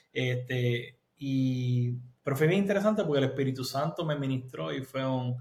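Somewhat breathy and fairly high, a man's voice moves at a moderate pace with ordinary pitch variation. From Puerto Rico. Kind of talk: interview testimony.

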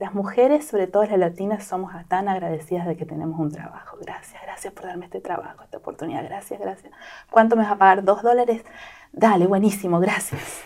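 A woman with a plain, everyday voice talks at medium pitch and a fairly quick pace, with ordinary pitch variation. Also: big swings in loudness. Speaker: product manager. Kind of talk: interview.

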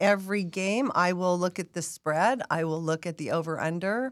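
On a very clean recording with a silent background, a woman speaks with an American accent at a fairly low pitch. Her pace is moderate and her pitch variation ordinary. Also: dry, close sound with no echo. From Las Vegas, Nevada. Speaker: season ticket holder and sports fan. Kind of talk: casual chat.

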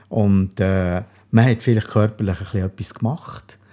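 Somewhat breathy and dark, mellow in tone, a man speaks at a fairly low pitch and a fairly slow pace. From Bern Seeland, Switzerland. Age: 60s. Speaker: retired police officer, heart attack survivor. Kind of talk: interview.

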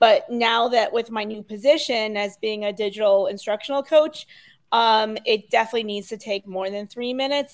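A normal speaking voice with an American accent at a moderate pace. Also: woman. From Connecticut, US. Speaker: digital instructional coach. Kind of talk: casual interview chat.

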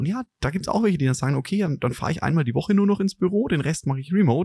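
Talking at a very fast pace, a man with a fairly high pitch and a dark, mellow tone uses lively intonation on a dry, close recording with no echo. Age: middle-aged. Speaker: podcast host, business consultant. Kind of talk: casual chat.

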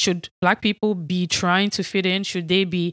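A woman's medium-pitched voice with an American accent, flat and monotone, at a moderate pace, dry and close with no echo, on a very clean recording against a silent background. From Nigeria. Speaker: podcast host. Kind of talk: solo podcast monologue.

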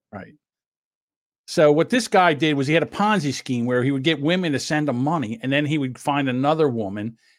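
Speaking at a fairly quick pace, a man uses an ordinary speaking voice with fairly high pitch. His pitch variation is ordinary, and the recording is very clean with a silent background. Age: 60s. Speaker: podcast co-host. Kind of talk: casual chat.

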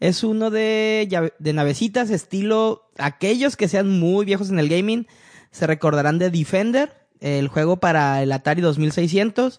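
A man with a Mexican accent, high in pitch, fairly slow, with ordinary pitch variation and very even loudness. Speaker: video game podcast host. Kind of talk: casual chat.

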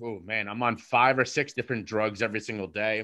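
On a very clean recording with a silent background, a man with a bright, sharp tone and medium pitch talks at a moderate pace. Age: 30s. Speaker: mental health advocate and guest sharing recovery story. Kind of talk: interview, personal story. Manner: halting, with repeated words.

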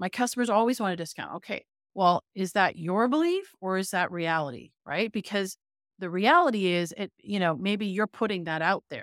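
A woman's normal speaking voice with a Canadian accent, medium in pitch, moderate in pace and ordinary in pitch variation, on a very clean recording with a silent background and a dry, close sound with no echo. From Canada, Toronto. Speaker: business coach. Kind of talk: interview.

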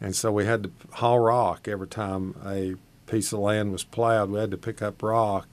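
A man speaks with an Appalachian accent and a fairly low pitch. His intonation is fairly even, and the background is quiet. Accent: Appalachian Southern US. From East Tennessee (Shady Valley). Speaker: agricultural extension agent. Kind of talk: radio interview.

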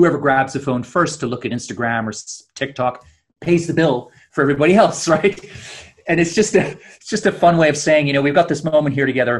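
A man speaks at a fairly quick pace in a fairly high, somewhat breathy voice. His pitch varies in an ordinary way. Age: 50s. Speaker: author. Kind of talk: interview.

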